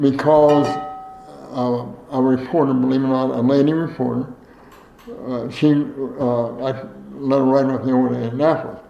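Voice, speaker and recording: With audible room echo and noticeable background noise, a man with an American accent speaks at a medium pitch. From Ohio, US Midwest. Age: 80s+. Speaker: former state legislator. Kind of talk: oral history interview. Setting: at his home. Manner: halting, many fillers.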